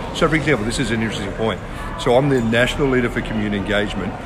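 A man speaks in an Australian accent with a medium pitch and ordinary pitch variation. Audible room echo and noticeable background noise surround him. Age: 50s. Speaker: pastor. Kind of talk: casual chat.

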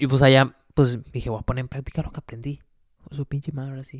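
A man with a Mexican accent speaks at a moderate pace and medium pitch in an animated tone, on a very clean recording with a silent background and a dry, close sound with no echo. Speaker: solo podcast host. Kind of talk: casual monologue.

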